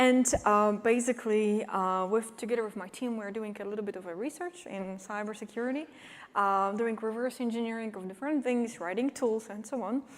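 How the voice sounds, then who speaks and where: With a Polish accent, a woman speaks at a fairly quick pace in a fairly high pitch, her pitch varying in an ordinary way. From Poland. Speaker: cybersecurity expert and company CEO. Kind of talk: conference talk. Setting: stage with audience. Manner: animated.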